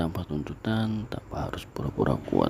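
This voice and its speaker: A man whispering over noticeable background noise. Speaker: ASMR creator. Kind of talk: ASMR romantic boyfriend roleplay. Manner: soft-spoken, comforting.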